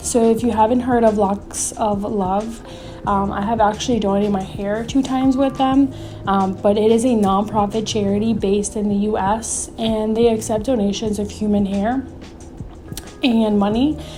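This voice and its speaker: Amid audible room echo and noticeable background noise, a woman at a fairly high pitch speaks at a moderate pace with monotone, flat intonation. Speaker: nonprofit founder and video host. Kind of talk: informational talk to camera. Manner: frequent filler ums.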